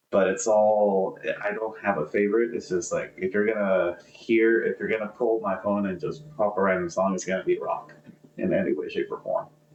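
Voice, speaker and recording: Noticeable background noise sits behind speech that keeps a moderate pace. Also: man. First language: Spanish. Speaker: podcast co-host. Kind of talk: casual chat.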